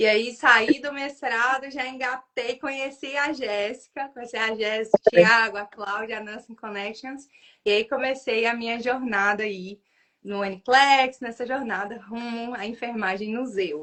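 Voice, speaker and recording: With a Minas Gerais accent, a woman speaks at a fairly slow pace, her fairly high pitch held in fairly even intonation. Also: big swings in loudness. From northern Minas Gerais, Brazil. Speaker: nurse and exam tutor. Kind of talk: casual livestream interview. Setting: online livestream.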